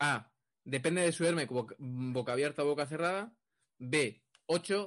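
A man with a fairly high pitch speaks at a very slow pace with ordinary pitch variation against a quiet background. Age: 30s. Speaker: podcast host. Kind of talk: casual chat.

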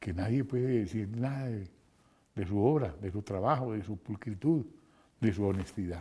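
The voice has a dark, mellow tone, somewhat breathy, with ordinary pitch variation. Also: man, fairly low pitch for a man, moderate pace. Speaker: radio host. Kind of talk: interview. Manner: halting.

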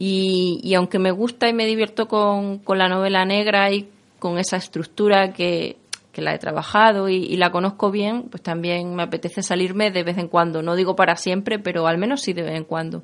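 This woman has an unremarkable speaking voice, medium in pitch, with a moderate pace and fairly even intonation. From Extremadura, Spain. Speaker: writer and lawyer. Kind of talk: interview.

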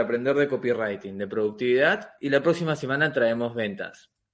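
A man with a Peruvian accent, lively in intonation, at a moderate pace. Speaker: podcast co-host. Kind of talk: podcast interview. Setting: studio.

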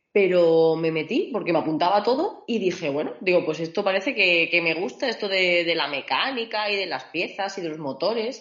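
Here is a woman with an ordinary speaking voice, pitched fairly low. She talks at a moderate pace with lively intonation and hardly any pauses. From Extremadura, Spain (Mérida). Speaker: mechanical engineer and entrepreneur. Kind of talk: interview.

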